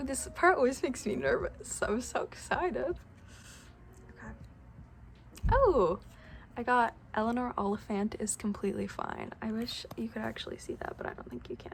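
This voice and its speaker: Long pauses come often in this speech, delivered at a moderate pace. Noticeable background noise runs underneath. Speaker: book vlogger. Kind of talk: casual vlog. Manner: animated.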